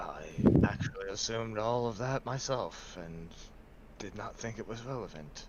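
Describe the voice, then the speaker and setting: Loud background noise runs under this recording. A man uses a put-on character voice at a moderate pace. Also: medium pitch for a man. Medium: actual play. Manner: formal, measured, thoughtful hums.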